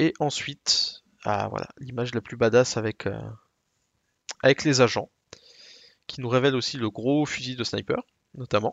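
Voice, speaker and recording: With vocal fry and a medium pitch, a man speaks at a fairly slow pace, leaving long, frequent pauses as his loudness swings widely. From Alsace, France. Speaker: gaming podcast co-host. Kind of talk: casual chat.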